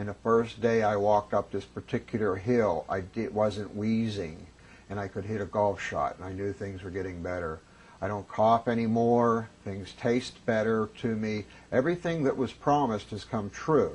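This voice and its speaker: Against a quiet background, a man speaks at a moderate pace with a fairly low pitch. His voice is somewhat breathy, with ordinary pitch variation. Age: 50s. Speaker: former smoker giving testimonial. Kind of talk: testimony.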